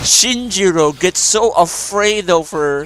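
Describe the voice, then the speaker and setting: Against noticeable background noise, a man with a non-native accent speaks with ordinary pitch variation. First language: not English. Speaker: gaming streamer. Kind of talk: casual gameplay commentary. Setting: live stream with friends. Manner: animated.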